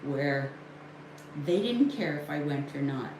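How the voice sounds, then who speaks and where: A woman speaks at a very deep, low pitch. Audible room echo and noticeable background noise come through. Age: 60s. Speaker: livestreamer sharing personal recovery story. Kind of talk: personal testimony on a livestream. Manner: candid, emphatic.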